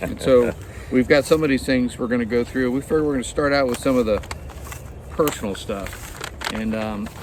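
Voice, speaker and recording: With noticeable background noise behind him, a man speaks at a fairly quick pace, his medium pitch showing ordinary variation. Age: 60s. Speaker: retired hiker and video host. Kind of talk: casual chat.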